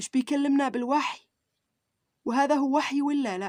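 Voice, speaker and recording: A woman speaks in a Sanaa accent. Her pace is fairly slow. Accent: Yemeni Arabic (Sanaani). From Yemen. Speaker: YouTuber. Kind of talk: religious vlog monologue. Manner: animated.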